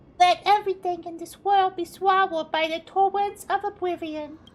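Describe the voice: Doing a put-on character voice, a woman speaks at a moderate pace in a squeaky, extremely high pitch.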